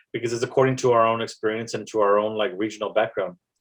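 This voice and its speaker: At a very fast pace, a man with an American accent talks in a medium-pitched voice. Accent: Tejano accent in English. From South Texas, McAllen. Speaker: poet and spoken word artist. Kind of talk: podcast interview. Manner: hesitant, many fillers.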